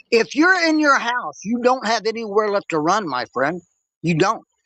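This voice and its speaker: A man's high, bright, sharp voice moves at a fairly slow pace with very wide pitch swings, dry and close with no echo against a quiet background. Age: 60s. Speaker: former police officer. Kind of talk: heated debate. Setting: live stream. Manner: animated.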